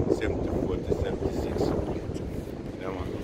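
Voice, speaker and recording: A man is heard over loud background noise. The sound itself is dry, with no echo. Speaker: vlogger waiting for a train. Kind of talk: casual vlog chat. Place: street. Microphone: phone near.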